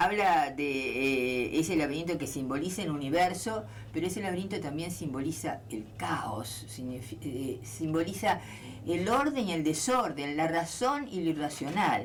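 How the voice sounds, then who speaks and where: Noticeable background noise runs through the clip. The speaker keeps a moderate pace. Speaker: literature scholar. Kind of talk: radio interview.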